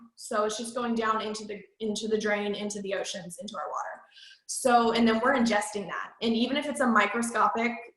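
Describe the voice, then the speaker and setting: With audible room echo, a woman talks at a fairly quick pace in a fairly high pitch, her intonation fairly even but her loudness swinging widely. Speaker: MLM sales trainer. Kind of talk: training presentation.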